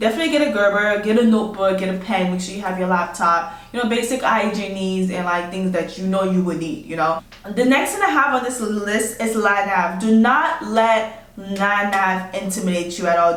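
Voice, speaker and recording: In a non-native accent, a woman talks at medium pitch with an animated tone, ordinary pitch variation and a fairly quick pace, hardly any pauses. Audible room echo and noticeable background noise fill the recording. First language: not English. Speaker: army officer. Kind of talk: advice vlog. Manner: casual, animated.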